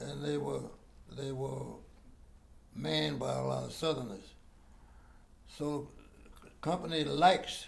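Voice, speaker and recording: This man's voice makes very wide pitch swings, broken by long, frequent pauses. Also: fairly slow pace. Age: 80s+. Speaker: war veteran. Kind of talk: interview answer.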